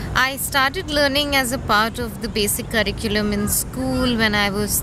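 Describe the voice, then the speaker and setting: A woman with an Indian accent amid audible room echo and noticeable background noise. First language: an Indian language. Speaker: interviewee. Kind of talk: interview. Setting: outdoors. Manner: hesitant.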